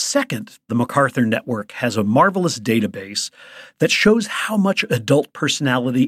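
A man talks at a moderate pace with an American accent. The recording is very clean with a silent background and a dry, close sound with no echo. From US Midwest, Chicago. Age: 60s. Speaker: psychologist. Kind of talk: interview conversation. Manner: animated.

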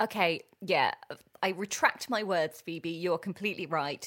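A woman speaks in a plain, everyday voice at a fairly low pitch. Her pace is moderate and her pitch variation ordinary. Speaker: podcast host. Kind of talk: casual chat.

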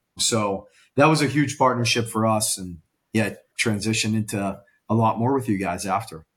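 The speaker has an American accent and a somewhat breathy, animated tone, with ordinary pitch variation. The pace is fairly quick, on a very clean recording with a silent background. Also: man, medium pitch for a man. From Pittsburgh, US Northeast. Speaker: events sales director. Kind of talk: casual interview.

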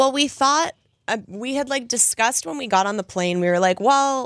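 A woman speaks with a plain, everyday voice at a fairly quick pace. Her intonation is lively, and the sound is dry and close with no echo. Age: 30s. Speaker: guest sharing divorce story. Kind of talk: casual chat.

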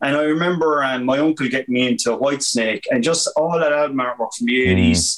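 Fairly quick and very even in loudness, a man talks with a Limerick accent. His pitch is fairly high. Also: lively intonation. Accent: Irish (Limerick). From Ireland, County Limerick. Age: 40s. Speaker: graphic artist and college lecturer. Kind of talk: casual chat.

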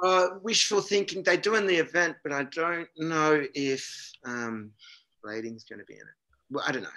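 With an Australian accent and a bright, sharp tone, a man speaks at a moderate pace in a fairly high pitch, his voice making very wide pitch swings and big swings in loudness, broken by long, frequent pauses. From Australia, Canberra. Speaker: pro inline skater. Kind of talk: casual chat. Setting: video call.

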